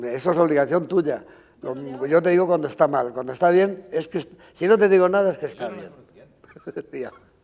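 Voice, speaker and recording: A man with a high pitch talks at a fairly quick pace. His loudness swings widely while his pitch varies in an ordinary way. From Spain, Segovia (Riaza). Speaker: costume designer. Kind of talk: interview. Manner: halting, many fillers.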